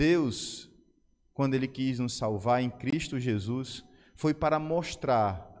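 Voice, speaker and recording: The man speaks at a very slow pace. Room echo is audible. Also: medium pitch for a man, ordinary pitch variation. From Brazil, Ceará. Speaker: pastor. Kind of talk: sermon. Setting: church service.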